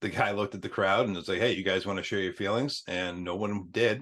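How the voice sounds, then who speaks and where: Over a quiet background, a man with a plain, everyday voice talks at a fairly quick pace, his pitch fairly low and his intonation fairly even. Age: 40s. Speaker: podcast host, firefighter. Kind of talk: casual interview chat.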